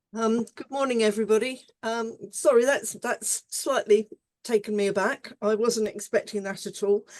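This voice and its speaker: The woman's voice is fairly high in pitch, and her pace is moderate. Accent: British. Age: 70s. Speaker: conference session chair. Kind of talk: conference moderation. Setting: online conference.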